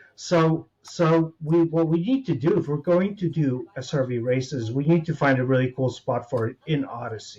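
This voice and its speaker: A man with an American accent and a normal speaking voice talks at a moderate pace with hardly any pauses. His pitch is fairly high, with ordinary pitch variation. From United States. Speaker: gamer guest. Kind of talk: casual chat.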